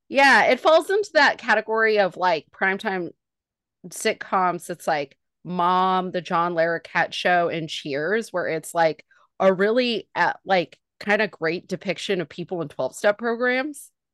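A woman with an American accent uses a normal speaking voice at a medium pitch, talking fairly slowly with lively intonation in a dry, close recording with no echo and a quiet background. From Northern California. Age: 40s. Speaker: comedian. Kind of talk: casual chat.

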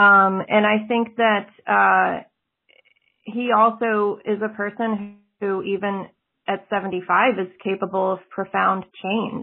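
A woman speaks very slowly with an American accent at a medium pitch. Her intonation is monotone and flat. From South Texas (Laredo, border region). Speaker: fiction writer. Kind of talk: interview.

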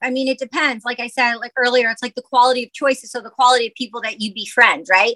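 With an American accent, this raised, projected voice has a bright, sharp tone and a dry, close sound with no echo. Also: woman. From Michigan, US (Detroit area). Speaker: actress and musician. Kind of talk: casual interview chat.

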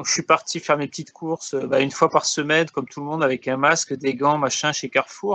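A man with a plain, everyday voice talks at a fairly quick pace and fairly high pitch with fairly even intonation. The sound is dry and close with no echo. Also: quiet background. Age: 40s. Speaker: podcast co-host. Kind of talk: casual chat. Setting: recorded over the internet.

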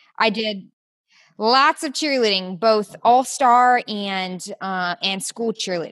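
Against a quiet background, someone with an American accent speaks at a very slow pace with ordinary pitch variation. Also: woman. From US South, Georgia. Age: 20s. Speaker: registered dietitian and nutrition coach. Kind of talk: casual interview chat.

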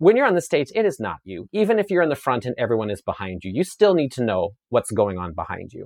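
In a Canadian Prairies accent, a man speaks with an animated tone. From Saskatchewan, Canada (rural). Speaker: chef and media personality, former dancer. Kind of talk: interview conversation.

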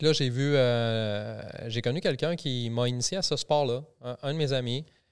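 This man has an unremarkable speaking voice at a medium pitch. His pitch varies an ordinary amount. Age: 40s. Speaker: army reservist and personal development enthusiast. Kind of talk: casual chat. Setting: studio.

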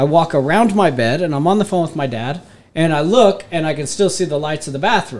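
In an American accent, a man with a fairly high pitch and lively intonation has an unremarkable speaking voice. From northeast Texas, Denton area. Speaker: podcast co-host. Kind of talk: casual chat.

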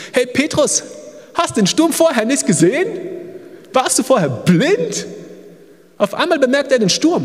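Over noticeable background noise, a man with an extremely high pitch speaks at a fairly slow pace with long, frequent pauses. His pitch swings very widely while his loudness stays very even. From Germany. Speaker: missionary. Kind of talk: sermon. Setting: church service.

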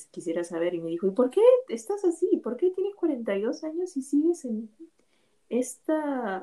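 With a dark, mellow tone, a woman speaks at a moderate pace using very wide pitch swings. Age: 40s. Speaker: podcast host, former bookseller. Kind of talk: casual chat.

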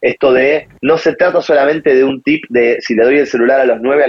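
A man with a plain, everyday voice talks at a fairly quick pace, his fairly high pitch moving with ordinary variation. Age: 30s. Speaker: digital parenting columnist. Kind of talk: casual interview.

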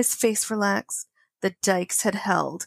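A normal speaking voice from a woman with an American accent, medium in pitch, with a dry, close sound with no echo and a very clean recording, silent background. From Connecticut. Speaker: podcast co-host, romance book reviewer. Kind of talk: casual chat, book discussion with reading aloud.

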